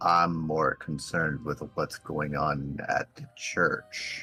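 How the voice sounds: A man speaks very slowly in a put-on character voice, raspy and very deep, with faint music in the background.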